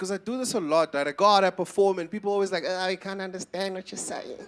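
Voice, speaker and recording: Over noticeable background noise, a man talks in an animated tone at a very fast pace. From South Africa, Eastern Cape. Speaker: stand-up comedian. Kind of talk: stand-up. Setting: stage with audience.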